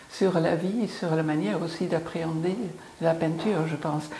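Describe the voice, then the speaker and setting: A woman with a fairly low pitch and fairly even intonation is heard with audible room echo and noticeable background noise. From Belgium. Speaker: painter. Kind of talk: interview. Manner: hesitant, many fillers.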